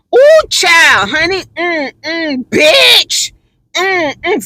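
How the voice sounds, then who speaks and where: In a put-on character voice with an extremely high pitch, the speaker talks at a very slow pace. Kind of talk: casual slang. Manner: sassy, animated, dramatic.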